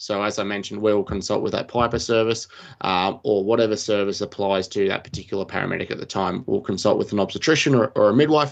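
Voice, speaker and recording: Talking at a very fast pace, a man with a fairly low pitch speaks in an Australian accent. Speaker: paramedic. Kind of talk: podcast discussion. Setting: live stream.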